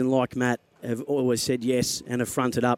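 A man's medium-pitched voice with an Australian accent. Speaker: football radio broadcaster. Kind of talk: on-air eulogy tribute before a match broadcast. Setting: radio studio. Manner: solemn, measured and heartfelt; slightly halting with emotion at the start.

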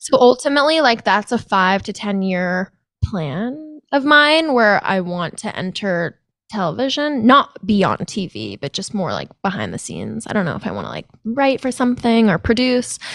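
Fairly high-pitched woman with an unremarkable speaking voice, lively intonation and a moderate pace, over a quiet background. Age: 20s. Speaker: podcast host. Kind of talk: casual chat.

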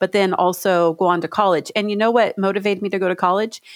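At a fairly quick pace, a woman with an ordinary speaking voice talks at a medium pitch. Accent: American. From California. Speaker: state legislator. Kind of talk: interview.

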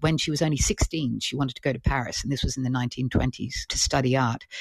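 Somewhat breathy, a woman with an Australian accent talks at a very fast pace with hardly any pauses. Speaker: author and art critic. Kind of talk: interview. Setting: live audio app recording.

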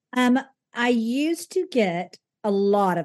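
With a Southern US accent, a woman talks in a lively intonation. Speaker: wedding venue owner and consultant. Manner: chatty, candid.

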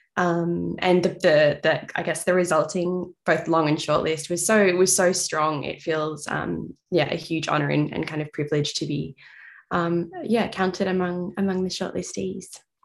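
With an Australian accent and vocal fry, a woman speaks at a fairly low pitch in fairly even intonation. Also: moderate pace. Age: 30s. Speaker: novelist. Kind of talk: interview.

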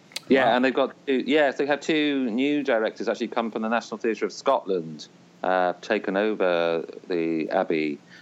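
A man with an Irish accent, lively intonation and a moderate pace, over a quiet background. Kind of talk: casual interview.

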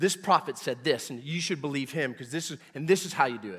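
This man has an unremarkable speaking voice, fairly high in pitch with ordinary pitch variation, captured in a very clean recording with a silent background. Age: 40s. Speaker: pastor. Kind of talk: sermon. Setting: church.

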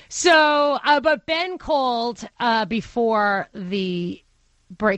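The speaker has a Brooklyn accent and lively intonation. The background is quiet. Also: woman. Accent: Brooklyn accent, getting stronger. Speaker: radio talk show host. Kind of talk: call-in radio talk.

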